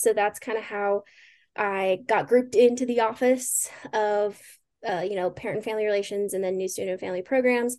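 An unremarkable speaking voice moves at a fairly quick pace with fairly even intonation over a quiet background. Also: woman. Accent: American. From Pueblo, Colorado. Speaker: recent graduate and climate fellow. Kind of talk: interview. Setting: video call.

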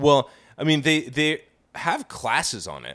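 In a very clean recording with a silent background, a man with an American accent speaks in an animated tone with vocal fry. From Kansas, US Midwest. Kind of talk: casual comedic banter, podcast. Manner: animated, profane, joking.

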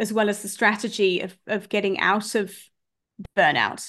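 A woman with a British accent and a fairly high pitch speaks at a moderate pace against a quiet background. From UK. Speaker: life coach. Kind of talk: interview.

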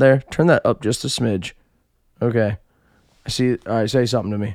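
In a dry, close sound with no echo, a man speaks at a medium pitch with ordinary pitch variation. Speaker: podcast co-host. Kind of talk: casual chat. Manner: animated, up and down; loud.

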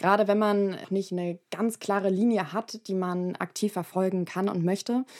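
A woman with a normal speaking voice talks at a medium pitch and a fairly slow pace. The recording is very clean, with a silent background. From Hamburg, northern Germany. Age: 20s. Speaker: podcast host, university student. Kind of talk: casual interview.

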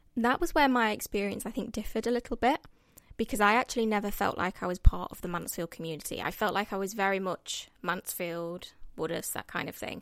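Fairly quick speech in an East Midlands accent with big swings in loudness, in a very clean recording with a silent background. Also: woman, medium pitch for a woman. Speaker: guest. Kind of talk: casual chat.

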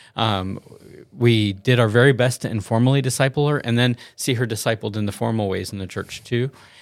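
Very clean recording, silent background, with an unremarkable speaking voice from a man at medium pitch, fairly quick in pace and fairly even in intonation. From US South. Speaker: pastor. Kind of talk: casual chat.

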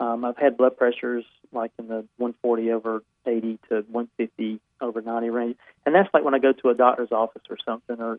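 At a fairly quick pace, a man speaks in a plain, everyday voice at a medium pitch. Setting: phone call.

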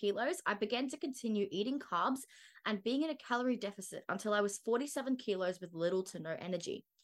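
A woman with an Australian accent, lively in intonation, at a fairly quick pace. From Australia, Brisbane. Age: 20s. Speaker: wellness podcaster and media student. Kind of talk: scripted solo podcast monologue.

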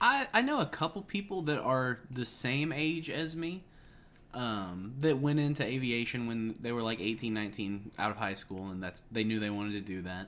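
Lively intonation from a man with a plain, everyday voice at a medium pitch and a moderate pace. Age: 20s. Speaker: helicopter pilot and flight instructor. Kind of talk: casual chat.

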